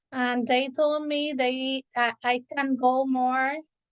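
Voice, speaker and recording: A woman with a Spanish accent speaks at a high pitch with fairly even intonation. The sound is dry and close with no echo, over a quiet background. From Puerto Rico. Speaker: elementary school teacher. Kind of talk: casual chat. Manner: halting.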